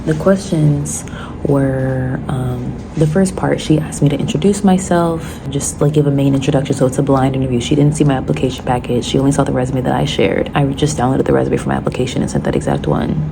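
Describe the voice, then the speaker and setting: Room echo is audible and background noise is noticeable. A woman speaks at a very fast pace. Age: 20s. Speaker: vlogger. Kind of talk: casual vlog.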